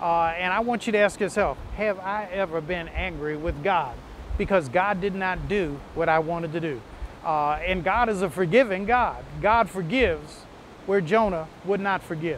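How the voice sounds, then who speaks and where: A man with a high pitch and a warm tone speaks at a moderate pace with ordinary pitch variation. The sound is dry with no echo and there is light background noise. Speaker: pastor. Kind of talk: short sermon preview and worship invitation. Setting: video message before online worship. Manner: warm, earnest, pastoral; conversational, with occasional filler pauses. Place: beach. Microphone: lapel.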